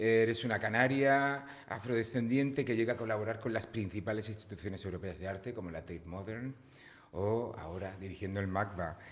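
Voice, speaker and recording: Audible room echo surrounds a man talking at a fairly quick pace. His pitch varies an ordinary amount. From Spain, Cartagena (Murcia). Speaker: podcast host. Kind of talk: interview.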